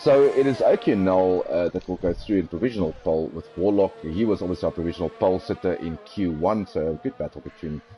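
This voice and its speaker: A man with a South African accent, very deep and low in pitch, at a fairly quick pace with ordinary pitch variation and music in the background. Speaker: sim racing commentator. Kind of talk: live commentary.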